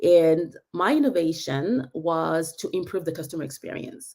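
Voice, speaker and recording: A woman with a French accent at a moderate pace. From France. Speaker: tech business leader. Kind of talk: webinar talk. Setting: online live session. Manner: halting, many fillers.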